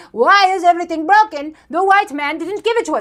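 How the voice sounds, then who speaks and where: A woman's put-on character voice, extremely high in pitch, at a fairly quick pace. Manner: mocking.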